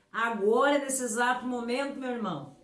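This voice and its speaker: With music in the background and audible room echo, a woman at a fairly high pitch speaks in an animated tone. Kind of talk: sermon. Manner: animated, emphatic.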